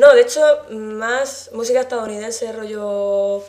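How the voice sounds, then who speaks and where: An unremarkable speaking voice from a woman, fairly high in pitch, with fairly even intonation. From Murcia, Spain. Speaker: gamer guest. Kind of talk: casual interview.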